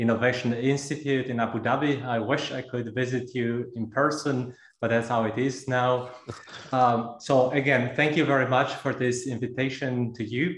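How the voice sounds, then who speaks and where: With audible room echo, a man speaks in a monotone, flat intonation. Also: moderate pace. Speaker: speaker. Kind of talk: lecture. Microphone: video call.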